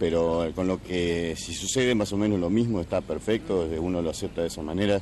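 There is light background noise and a dry sound with no echo as a man speaks in a very deep, low pitch. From Argentina. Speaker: interviewee on the street; interviewee. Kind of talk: street interview. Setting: outdoors. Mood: calm, content. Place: street. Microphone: handheld.

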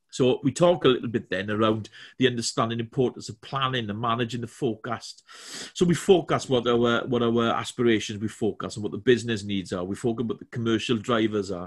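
A man's medium-pitched voice with a Welsh accent, very fast in pace, ordinary in pitch variation, over a quiet background. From Wales. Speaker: corporate trainer. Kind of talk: webinar presentation. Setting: video call from home. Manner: halting, many fillers and repetitions. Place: home room.

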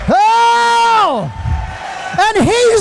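Shouting over noticeable background noise, a man speaks at an extremely high pitch with an animated tone and lively intonation. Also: dry sound with no echo. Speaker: preacher. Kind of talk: sermon. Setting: church. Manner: animated, emotional, overcome with fervor; repetitive, rhythmic, exclamatory. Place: church. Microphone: handheld.

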